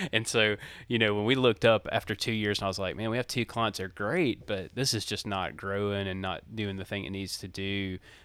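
With a Southern US accent, a man talks at a fairly quick pace with hardly any pauses. His voice is fairly low, with fairly even intonation. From Mississippi, US South. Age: 30s. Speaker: recording studio owner and podcast producer. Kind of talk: casual interview chat. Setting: video call.

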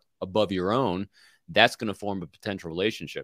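A man with an American accent talks at a very fast pace. The recording is very clean and silent, with a dry, close sound and no echo. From New York. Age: 50s. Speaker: former FBI agent and executive coach. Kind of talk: casual interview.

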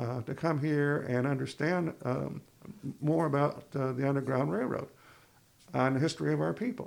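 This man's fairly high pitch moves with ordinary variation as he speaks at a moderate pace. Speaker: university administrator. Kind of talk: interview.

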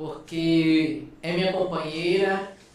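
Noticeable noise runs in the background. A man talks with audible room echo. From Brazil, Alagoas (Northeast). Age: 20s. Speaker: biomedical scientist. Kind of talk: casual interview chat. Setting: studio.

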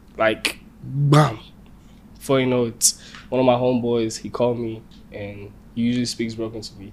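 A man's medium-pitched voice in an American accent, monotone and flat, at a moderate pace broken by long, frequent pauses. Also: big swings in loudness. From Nigeria, Lagos. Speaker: musician. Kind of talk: casual chat.

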